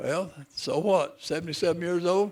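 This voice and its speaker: This man's voice sits high in pitch, with ordinary pitch variation. He talks at a fairly slow pace in a western North Carolina accent. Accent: Southern US (western North Carolina). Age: 70s. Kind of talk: ceremony speech. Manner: casual, joking.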